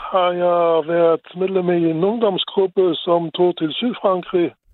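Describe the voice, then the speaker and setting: At a very slow pace, a man speaks in a high voice. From Luxembourg. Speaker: caller, mechanical engineer. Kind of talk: phone-in chat.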